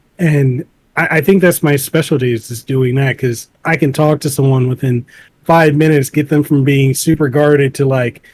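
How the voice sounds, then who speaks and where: Keeping his intonation fairly even, a man with a somewhat breathy voice talks at a moderate pace. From Samoa. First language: Samoan. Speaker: content creator and podcaster. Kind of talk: interview.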